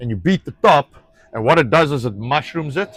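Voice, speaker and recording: Speaking in a South African accent, a man uses a fairly high pitch and lively intonation at a fairly quick pace. The sound is dry and close, with no echo. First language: Afrikaans. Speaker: rancher. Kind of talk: casual chat. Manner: halting.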